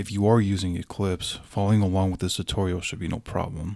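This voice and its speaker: A man with an American accent has a very deep, low pitch, a dark, mellow tone and monotone, flat intonation, on a very clean recording with a silent background. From California. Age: 20s. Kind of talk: programming tutorial.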